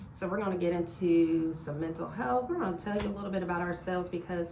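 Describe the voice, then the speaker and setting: A woman with an American accent and a fairly low pitch, plus audible room echo and noticeable background noise. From US Midwest, Columbus, Ohio. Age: 40s. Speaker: podcast and radio host, nurse. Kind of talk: casual chat.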